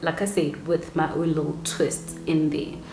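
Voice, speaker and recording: Noticeable noise sits in the background. A woman's voice comes through it. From South Africa. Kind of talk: casual talk to camera.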